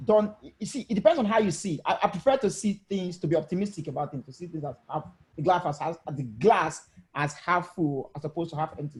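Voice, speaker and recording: A man speaks at a very fast pace with lively intonation. His loudness swings a great deal. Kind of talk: casual debate. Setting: video call. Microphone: voice too low, mic too far.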